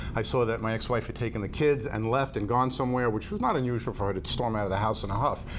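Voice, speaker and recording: A man talks at a very fast pace with a New York accent. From Long Island, New York. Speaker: optometrist. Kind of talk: interview. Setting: studio.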